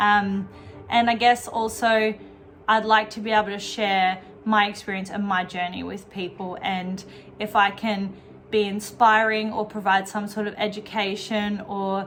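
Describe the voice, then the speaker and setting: A woman with an Australian accent speaks at a fairly slow pace in a monotone, flat way, with big swings in loudness. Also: medium pitch for a woman. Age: 20s. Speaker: fitness vlogger and bikini competitor. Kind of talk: casual vlog introduction. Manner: rambling, many fillers.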